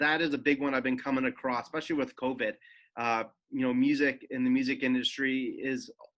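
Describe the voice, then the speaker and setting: Monotone, flat delivery from a man at medium pitch and a fairly quick pace, on a very clean recording with a silent background. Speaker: mental health speaker in music industry. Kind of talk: presentation. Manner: halting, self-correcting.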